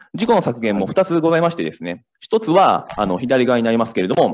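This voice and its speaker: This man's pitch swings very widely, with vocal fry. He speaks at a fairly quick pace. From Kansai, Japan. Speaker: startup founder. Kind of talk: startup pitch. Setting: stage with audience. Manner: halting.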